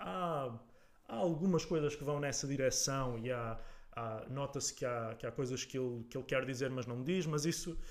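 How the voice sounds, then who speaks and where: A man's moderately paced speech shows ordinary pitch variation. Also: medium pitch for a man. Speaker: political podcaster. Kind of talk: casual political discussion. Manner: halting, many repetitions.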